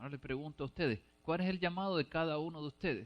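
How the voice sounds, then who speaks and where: In a fairly high voice with ordinary pitch variation, a man talks at a fairly quick pace, the sound dry and close with no echo. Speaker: preacher. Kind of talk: sermon. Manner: fast.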